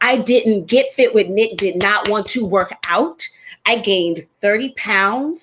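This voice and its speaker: A woman's fairly high voice, animated in tone, with lively intonation and a fairly slow pace. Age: 40s. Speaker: fitness trainer and show host. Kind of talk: casual chat.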